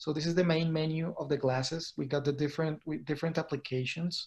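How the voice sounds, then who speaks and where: A somewhat breathy man with a Spanish accent talks at a fairly quick pace and fairly high pitch, keeping his intonation fairly even. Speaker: cruise industry consultant. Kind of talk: product presentation.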